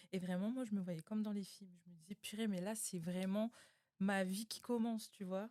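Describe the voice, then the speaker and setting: Speaking at a moderate pace, a woman has a dark, mellow tone and fairly even intonation. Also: medium pitch for a woman. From New Caledonia. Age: 20s. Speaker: podcast guest. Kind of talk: casual interview.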